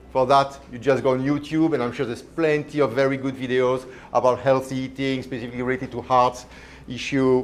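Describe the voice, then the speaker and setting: A man with a strong Belgian accent talks at a medium pitch. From Belgium. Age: 50s. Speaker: chef. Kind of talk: cooking demonstration. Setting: live demo with audience.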